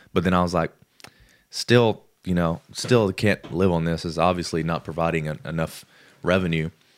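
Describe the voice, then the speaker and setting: Speaking at a moderate pace, a man uses a very deep, low pitch with fairly even intonation. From Alabama. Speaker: former military bomb disposal trainee, guest. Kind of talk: casual chat.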